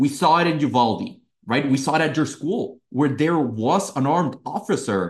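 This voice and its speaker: With a Spanish accent, a man speaks in a fairly high, somewhat breathy voice, using lively intonation and very even loudness. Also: moderate pace. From Mexico City. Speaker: youth political organization director. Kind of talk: interview.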